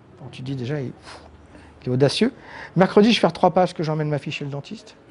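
Somewhat breathy speech from a man, pitched fairly high. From Paris suburbs (banlieue), France. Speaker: comic book artist. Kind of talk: interview. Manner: halting, many repetitions and hesitations.

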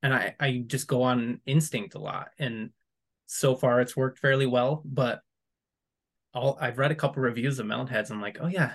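Against a quiet background, a man talks at medium pitch and a moderate pace, sounding somewhat breathy. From West Michigan. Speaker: horror author. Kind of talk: casual interview chat. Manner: hesitant, many fillers and laughs.

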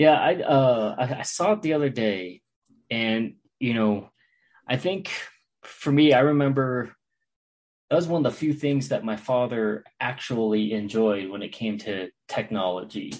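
A plain, everyday voice at a fairly slow pace with lively intonation over a quiet background. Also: man, medium pitch for a man. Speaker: podcast co-host. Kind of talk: casual conversation.

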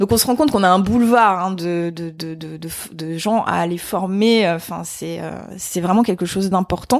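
Her medium-pitched voice moves at a very slow pace with ordinary pitch variation and hardly any pauses, as the woman speaks. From France, Vosges. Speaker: sustainability trainer. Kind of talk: interview. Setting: in person. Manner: hesitant, many fillers.

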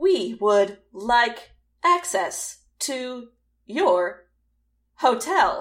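Using a put-on character voice, a woman speaks with a high pitch at a very slow pace, leaving long, frequent pauses.

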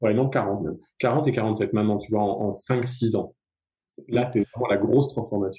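A man with a somewhat breathy, dark, mellow voice and medium pitch speaks at a fairly slow pace with fairly even intonation and long, frequent pauses. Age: 40s. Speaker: ultra runner and yoga teacher. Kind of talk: casual chat. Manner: halting.

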